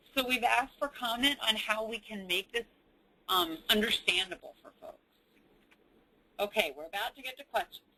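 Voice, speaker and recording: A woman with an American accent speaks at a moderate pace in a bright, sharp tone, with lively intonation, big swings in loudness and long, frequent pauses. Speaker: government agency director. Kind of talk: webinar presentation. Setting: webinar. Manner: speaking louder.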